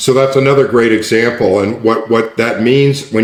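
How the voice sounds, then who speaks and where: Amid audible room echo, a man speaks at medium pitch and a moderate pace with fairly even intonation. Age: 60s. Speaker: neuroscience coach. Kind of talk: interview conversation. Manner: repetitive restarts.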